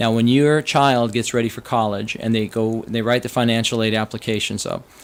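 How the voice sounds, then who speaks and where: Monotone, flat delivery from a man with an American accent at a medium pitch. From US. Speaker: financial advisor. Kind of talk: podcast explainer. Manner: casual.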